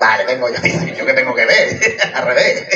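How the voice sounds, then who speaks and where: Against light background noise, a man talks in an animated tone at a moderate pace. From Catalonia, Santa Coloma de Gramenet; Catalonia. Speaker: stand-up comedian. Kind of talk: stand-up. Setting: outdoor stage at neighbourhood festival with audience. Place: stage. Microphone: camera far.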